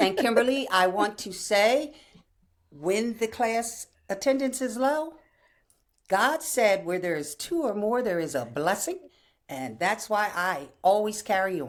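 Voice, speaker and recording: Speaking with an American accent at a fairly slow pace, a woman with a medium pitch makes very wide pitch swings on a very clean recording with a silent background. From US Northeast, Princeton New Jersey. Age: 70s. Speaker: wellness instructor, army veteran. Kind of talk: interview testimony.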